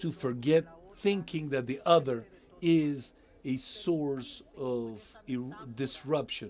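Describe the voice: A man speaks slowly at a medium pitch, with ordinary pitch variation. His tone is slightly mellow.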